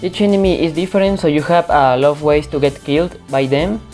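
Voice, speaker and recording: Over music in the background, a woman with a non-native accent speaks at a moderate pace, her pitch very deep and low with ordinary variation. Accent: non-native English pronunciation. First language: non-native English speaker. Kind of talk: video game review talk.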